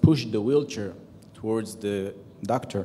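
In an Israeli accent, a man speaks with a fairly low pitch. His tone is dark and mellow. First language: Hebrew. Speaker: retired military general; conference panelist. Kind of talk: conference panel talk. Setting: stage with audience. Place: hall. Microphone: handheld.

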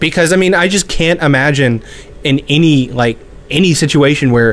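Male speech at a moderate tempo over noticeable background noise. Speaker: podcast co-host. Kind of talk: casual chat.

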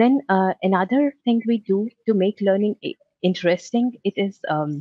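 A woman speaks at medium pitch and a moderate pace, her intonation lively. The sound is dry and close, with no echo.

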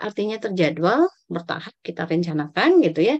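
A woman talks at a very fast pace against a quiet background. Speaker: pediatric nurse specialist; medical lecturer. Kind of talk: lecture. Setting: video call. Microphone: video call.

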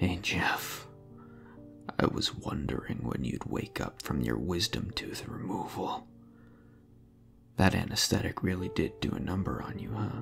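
Putting on a raspy character voice with a very deep, low pitch, a man speaks at a moderate pace with long, frequent pauses while clear music plays in the background.

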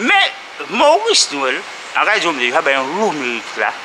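Over noticeable background noise, a man uses a raised, projected voice with very wide pitch swings. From Guadeloupe. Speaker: sports club member. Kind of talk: interview. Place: hall. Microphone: phone near.

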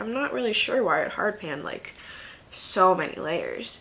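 A woman speaks at a fairly slow pace. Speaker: beauty vlogger. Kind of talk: casual vlog chat. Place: home room.

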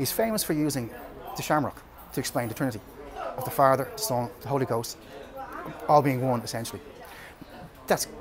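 With an Irish accent, a man talks at a very fast pace. Crowd noise fills the background. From Ireland. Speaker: storyteller. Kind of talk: informal history talk. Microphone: phone near.

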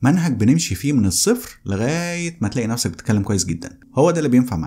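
Somewhat breathy and dark, mellow in tone, a man's voice rises and falls with lively intonation. He speaks at a very fast pace. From Egypt. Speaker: English teacher. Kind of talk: course promo; casual promotional talk to viewers. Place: studio. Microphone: studio mic.

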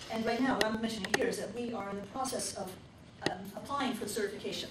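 A woman speaks at a very fast pace in a monotone, flat intonation, with light background noise and audible room echo. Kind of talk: business meeting announcements. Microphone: camera far.

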